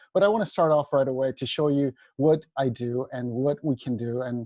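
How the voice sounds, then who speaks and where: A man's medium-pitched voice with a dark, mellow tone, fairly quick pace and ordinary pitch variation, in a dry, close sound with no echo against a quiet background. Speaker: dentist lecturer. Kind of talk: webinar lecture. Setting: online webinar. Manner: halting with fillers.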